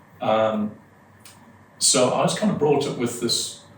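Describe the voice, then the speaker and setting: The voice shows ordinary pitch variation. There is audible room echo and noticeable background noise. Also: man. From northeast England. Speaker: hypnotist and performer. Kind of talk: podcast interview.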